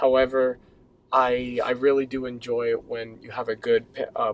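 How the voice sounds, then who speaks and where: The man's voice sits at a medium pitch and stays monotone, with flat intonation. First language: not English. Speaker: musician and songwriter. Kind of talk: casual chat.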